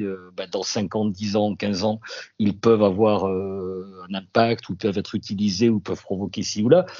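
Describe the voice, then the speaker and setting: Monotone, flat intonation runs through a man's fairly low-pitched speech. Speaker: radio journalist. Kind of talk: interview testimony. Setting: remote link.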